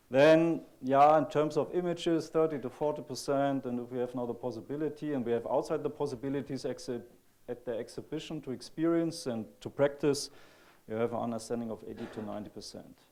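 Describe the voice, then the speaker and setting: The voice has a dark, mellow tone and a German accent. It goes at a fairly quick pace with ordinary pitch variation. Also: man, fairly high pitch for a man. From Germany. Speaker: computer graphics researcher. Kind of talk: conference talk. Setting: stage with audience. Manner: halting.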